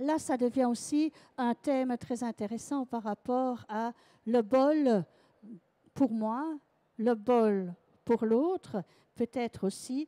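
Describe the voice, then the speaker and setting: In a Belgian accent, a dark, mellow voice speaks at a very slow pace in a dry, close sound with no echo. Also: woman. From Belgium. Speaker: sound massage trainer. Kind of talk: conference talk. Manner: halting.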